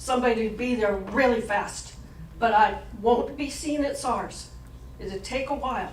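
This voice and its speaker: Noticeable background noise and audible room echo surround a woman's voice. She speaks at a moderate pace with a fairly high pitch and fairly even intonation. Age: 70s. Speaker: community workshop participant. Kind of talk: group report-back at public meeting. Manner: halting.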